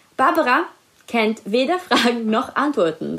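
A woman speaks with a high-pitched voice. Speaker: celebrity news podcast host. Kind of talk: quiz hosting. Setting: at home with cat.

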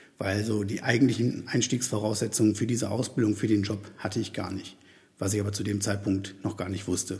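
A man speaks at a fairly quick pace with a fairly low pitch. His voice is somewhat breathy and his intonation monotone and flat. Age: 40s. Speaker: podcast host and career coach. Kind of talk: solo podcast monologue. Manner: hesitant, with many fillers.

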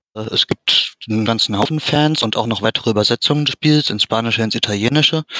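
A man talks at a fairly quick pace in a bright, sharp tone of medium pitch, with ordinary pitch variation, very even loudness and a dry, close sound with no echo. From Germany, Dortmund. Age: 30s. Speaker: fan translator and ROM hacker. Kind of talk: interview.

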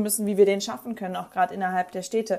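Fairly even intonation from a plain, everyday voice. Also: woman. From northern Germany, Bremen. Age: 20s. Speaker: politician. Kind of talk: debate.

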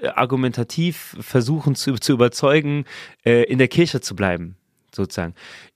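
A man speaks at a fairly high pitch with lively intonation. The recording is very clean, with a silent background and a dry, close sound with no echo. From Saarland, Germany. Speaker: church worker and podcast co-host. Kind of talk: casual discussion.

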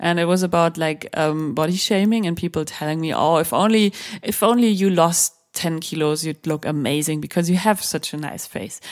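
A woman with a German accent talks at a moderate pace, her fairly low pitch showing ordinary variation. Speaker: sex journalist and author. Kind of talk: interview conversation.

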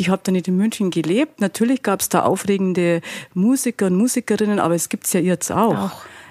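Speaking with a Bavarian accent, a woman has a medium pitch and lively intonation. The sound is dry and close with no echo. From Bavaria, Altötting district. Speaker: innkeeper and fashion designer. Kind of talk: interview.

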